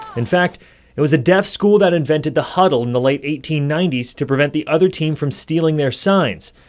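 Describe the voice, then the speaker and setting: There is noticeable background noise. A man talks at a fairly quick pace in a fairly high pitch with ordinary pitch variation. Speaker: TV news reporter. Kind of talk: TV news report.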